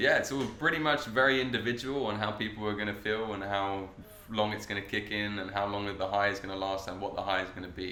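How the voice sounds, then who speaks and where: With audible room echo, a man races along at a very fast pace, his fairly low pitch held to fairly even intonation. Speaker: cannabis cooking workshop host. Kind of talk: podcast interview.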